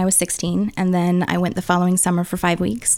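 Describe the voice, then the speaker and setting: On a very clean recording with a silent background, a woman uses an ordinary speaking voice with an American accent. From US Midwest, St. Louis area. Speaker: spiritual abuse survivor and activist. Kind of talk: testimony. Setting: studio.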